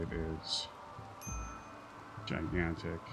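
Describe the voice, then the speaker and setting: The speaker talks softly, with music playing behind. The room adds an audible echo. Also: man. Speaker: gaming streamer. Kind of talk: live gameplay stream commentary. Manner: soft-spoken.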